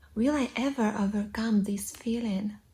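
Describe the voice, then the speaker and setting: In a Russian accent, a woman speaks very slowly with fairly even intonation and a dark, mellow, somewhat breathy tone. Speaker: English teacher, vlogger. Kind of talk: casual vlog monologue. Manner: hesitant, with fillers.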